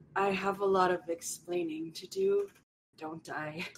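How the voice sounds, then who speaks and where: A put-on character voice at a fairly slow pace. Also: female-sounding voice, medium pitch for a woman. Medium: actual play.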